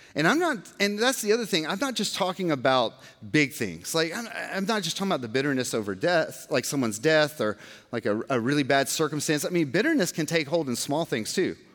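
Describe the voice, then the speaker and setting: With an American accent, a man speaks at a fairly quick pace in a fairly high pitch. His pitch swings very widely, and there is noticeable background noise. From Georgia, US. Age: 40s. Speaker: pastor. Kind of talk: sermon.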